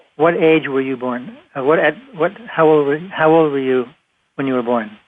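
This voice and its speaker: With an American accent, a man talks at a moderate pace in a fairly high pitch with ordinary pitch variation. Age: 60s. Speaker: radio host. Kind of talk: radio interview. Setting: internet talk radio. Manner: halting.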